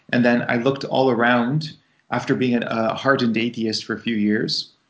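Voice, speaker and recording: Fairly even intonation in a plain, everyday voice. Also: man. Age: 40s. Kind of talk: interview.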